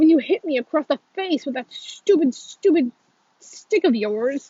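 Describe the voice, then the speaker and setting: In a put-on, growling character voice, a woman speaks at a high pitch and a moderate pace. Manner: angry, growling.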